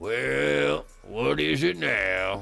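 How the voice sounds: A man's hoarse put-on character voice, very deep and low in pitch.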